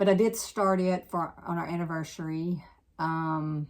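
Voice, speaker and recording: An unremarkable speaking voice from a woman, fairly low in pitch with ordinary variation, in a very clean recording with a silent background. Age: 60s. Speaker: cross-stitch hobbyist vlogger. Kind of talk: casual chat.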